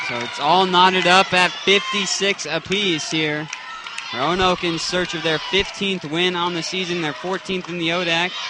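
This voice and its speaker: Against noticeable background noise, a high-voiced man speaks at a moderate pace. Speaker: sports play-by-play announcer. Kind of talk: live basketball play-by-play commentary.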